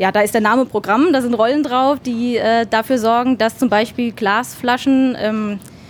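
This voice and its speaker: The pace is moderate and the intonation fairly even. Noticeable background noise runs underneath. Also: woman. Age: 30s. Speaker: chemical lab technician. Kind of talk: interview. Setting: in a laboratory.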